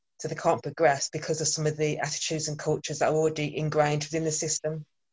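A woman with a Birmingham accent speaks at a fairly quick pace in a very deep, low pitch. Her somewhat breathy voice stays monotone and flat. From England, Birmingham. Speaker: workplace trainer. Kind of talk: panel discussion.

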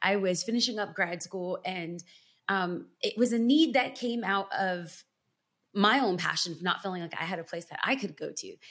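In a normal speaking voice with an American accent, a woman talks at a moderate pace and medium pitch, her intonation lively. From Los Angeles, California. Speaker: pastor and author. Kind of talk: interview.

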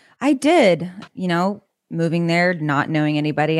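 A woman with an American accent speaks in an unremarkable speaking voice, fairly low in pitch, with ordinary pitch variation, her dry, close sound carrying no echo on a very clean recording with a silent background. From California suburbs. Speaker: country singer-songwriter. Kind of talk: interview.

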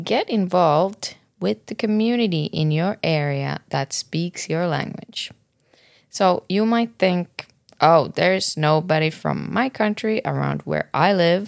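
Speaking very slowly, a woman uses a fairly low pitch and lively intonation with a Finnish accent. The sound is dry and close with no echo. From Finland. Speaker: podcast host. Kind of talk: casual podcast conversation.

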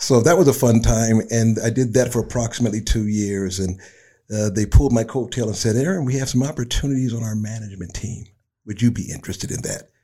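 A man speaks very fast in a somewhat breathy, medium-pitched voice with a dark, mellow tone, on a very clean recording with a silent background. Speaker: retired delivery company manager. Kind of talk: interview.

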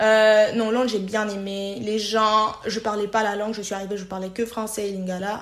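Against audible room echo, a woman speaks at a moderate pace with hardly any pauses, her fairly high pitch held in a flat monotone. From DR Congo (Kisangani, Kinshasa). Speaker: payroll manager. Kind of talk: personal story interview.

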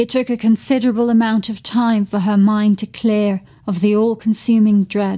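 The clip consists of plain reading aloud.

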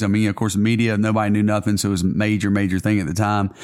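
Here a man speaks at a fairly low pitch. The recording is very clean with a silent background. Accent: Southern US. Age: 40s. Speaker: pastor. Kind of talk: casual interview.

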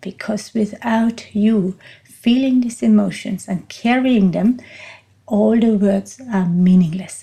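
A woman speaks very slowly with a non-native accent. Her pitch is medium, with ordinary variation. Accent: noticeable non-native. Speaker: podcast host and coach. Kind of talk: monologue podcast talk on voice training. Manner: reflective, speaks from the heart, unscripted.

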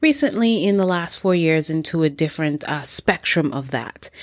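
On a very clean recording with a silent background, the pitch varies in an ordinary way. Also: woman. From Jamaica. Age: 30s. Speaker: podcast host. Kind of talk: solo podcast monologue.

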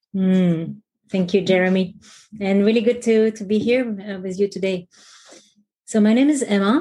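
A woman speaks at a moderate pace in a medium pitch, her voice somewhat breathy with a dark, mellow tone. Her intonation stays fairly even, broken by long, frequent pauses. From France. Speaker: executive coach. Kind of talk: interview.

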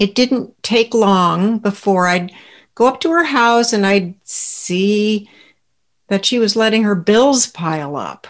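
A woman with an American accent, an ordinary speaking voice, medium pitch, ordinary pitch variation and a fairly slow pace, against a quiet background. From Southern California. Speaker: podcast co-host, former caregiver. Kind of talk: personal storytelling.

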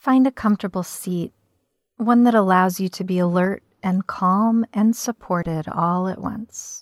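Here is a normal speaking voice from a woman, medium in pitch with ordinary pitch variation, at a fairly slow pace. The sound is dry and close with no echo, on a very clean recording with a silent background. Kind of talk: guided meditation. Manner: slow, calm, gentle and unhurried with soft pauses.

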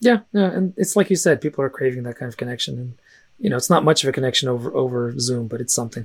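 A very fast, somewhat breathy man with an American accent and lively intonation. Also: medium pitch for a man. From US West Coast, San Francisco, Russian-speaking family. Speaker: fantasy author and teacher. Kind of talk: casual chat.

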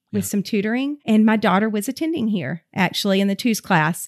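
A woman with a Southern US accent is heard in a very clean recording with a silent background and a dry, close sound with no echo. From US South, Georgia. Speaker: preschool director. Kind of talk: interview testimony.

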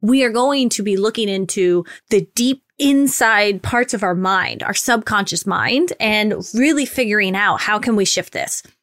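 A woman's fairly high voice at a fairly slow pace with hardly any pauses, ordinary pitch variation, and a dry, close sound free of echo. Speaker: relationship coach and podcast host. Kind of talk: solo podcast monologue. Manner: energetic, not soft-spoken.

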